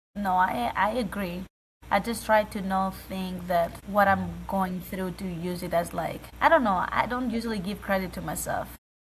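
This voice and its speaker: This woman talks at a moderate pace in a medium pitch. She has a non-native accent and ordinary pitch variation. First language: not English. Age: 20s. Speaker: college basketball player. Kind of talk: interview. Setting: video call.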